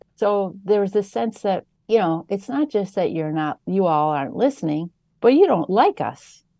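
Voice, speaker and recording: With an Upper Midwest accent and a dark, mellow tone, the voice moves at a moderate pace with very wide pitch swings, recorded with a dry, close sound and no echo over a quiet background. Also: woman, medium pitch for a woman. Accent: Upper Midwest American. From Wisconsin. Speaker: political science professor. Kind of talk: interview. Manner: mild-mannered.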